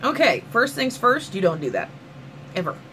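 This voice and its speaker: Over noticeable background noise, a voice with a Southern US accent sounds animated and moves through very wide pitch swings. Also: woman. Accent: southern US twang. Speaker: vlogger. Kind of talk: rant vlog.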